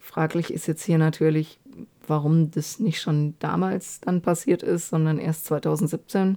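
Very slow and fairly even in intonation, a woman's very deep, low voice carries a dark, mellow tone. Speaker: true crime podcaster. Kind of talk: narrated case retelling. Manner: frequent filler hesitations. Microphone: new microphone.

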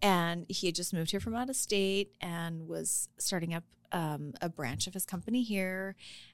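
Speaking at a moderate pace, a woman with an ordinary speaking voice and a fairly low pitch shows ordinary pitch variation on a very clean recording with a silent background. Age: 50s. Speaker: guest sharing personal dating life after divorce. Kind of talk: casual chat.

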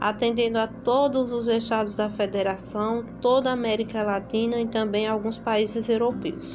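A woman with a northeastern Brazilian accent speaks at a fairly high pitch and a moderate pace, with hardly any pauses, flat monotone intonation and very even loudness. Noticeable background noise and audible room echo fill the recording. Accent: Northeastern Brazilian Portuguese (Paraíba). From Paraíba, Brazil (São Bento). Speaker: local history presenter. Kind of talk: scripted narration.

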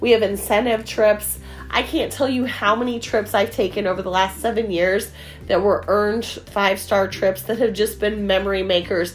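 With music in the background, a woman talks in an animated tone at medium pitch and a moderate pace, with ordinary pitch variation. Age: 40s. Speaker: direct sales recruiter. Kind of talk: sales pitch.

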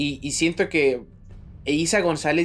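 A man talks with a Mexican accent. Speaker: podcast co-host. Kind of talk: casual chat.

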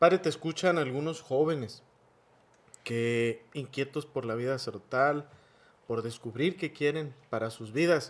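Here a man has a normal speaking voice with a fairly high pitch. He talks at a fairly slow pace with lively intonation. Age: 40s. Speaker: priest and podcast host. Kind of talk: interview.

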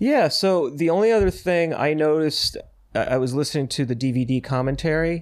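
A plain, everyday voice at a fairly quick pace, with ordinary pitch variation and very even loudness. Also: man, fairly high pitch for a man. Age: 50s. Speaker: podcast co-host and cartoonist. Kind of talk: casual chat.

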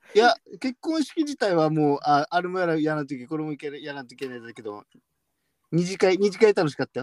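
A man speaks fairly quickly in a normal speaking voice, fairly high in pitch. The sound is dry and close with no echo, and his lively intonation comes with big swings in loudness. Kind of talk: casual chat.

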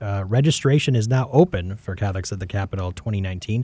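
With an American accent, a man talks fairly quickly in a dark, mellow, somewhat breathy tone, using ordinary pitch variation, and the sound is dry and close with no echo. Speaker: podcast host. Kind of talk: interview. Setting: studio.

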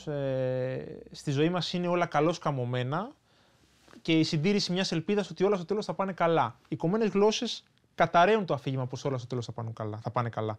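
The intonation is lively and the pace moderate. Behind the voice, the background stays quiet. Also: man. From Greece, Athens area. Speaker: author. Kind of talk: interview.

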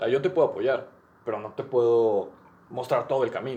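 At a fairly quick pace, a man with a fairly high pitch speaks with a Mexican accent. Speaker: podcast host. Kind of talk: casual chat.

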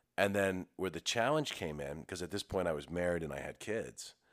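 Vocal fry runs through this fairly quick speech with ordinary pitch variation, in a very clean recording with a silent background and a dry, close sound with no echo. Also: man. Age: 30s. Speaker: business owner, podcast co-host. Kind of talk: casual chat.

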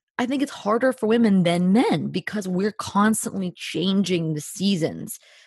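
A woman with a New Jersey accent talks at a moderate pace, her voice somewhat breathy with a dark, mellow tone. The sound is dry and close with no echo, over a quiet background. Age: 30s. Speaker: podcaster and speaker on friendship. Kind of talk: casual interview. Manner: animated.

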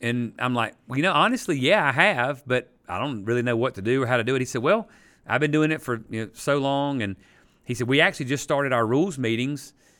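Very fast and bright, sharp in tone, a man talks with a Southern US accent at medium pitch and ordinary pitch variation. The recording is very clean, with a silent background. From South Carolina, Easley. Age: 50s. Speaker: pastor and sports referee. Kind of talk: casual interview. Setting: church classroom.

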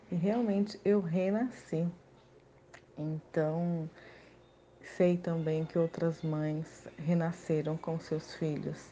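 Dark and mellow in tone, a woman speaks at a very slow pace with fairly even intonation. Her speech has long, frequent pauses. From Brazil, Campinas (São Paulo state). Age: 30s. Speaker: mother returning to work, former corporate employee. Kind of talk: personal testimony in interview. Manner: halting, many filler hesitations.

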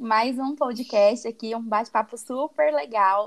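The speech moves at a fairly slow pace, with ordinary pitch variation. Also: woman. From Brazil. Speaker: podcast co-host, advertising graduate. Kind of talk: casual chat.

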